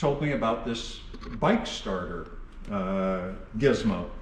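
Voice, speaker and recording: At a fairly slow pace, a man speaks with audible room echo and noticeable background noise. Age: 70s. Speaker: vintage motorcycle restorer and dealer. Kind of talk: casual chat.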